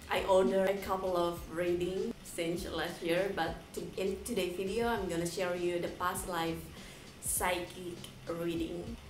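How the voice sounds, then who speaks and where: A woman with an Indonesian accent speaks at a fairly low pitch and fairly slow pace in a monotone, flat intonation, with audible room echo and noticeable background noise. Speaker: YouTuber. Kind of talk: casual vlog with reading aloud.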